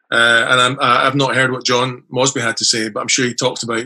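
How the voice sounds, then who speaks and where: With an Edinburgh accent, a man talks at a fairly quick pace and medium pitch in a monotone, flat intonation. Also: hardly any pauses. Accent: Scottish (Edinburgh). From Scotland, Edinburgh. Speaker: author. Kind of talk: casual chat.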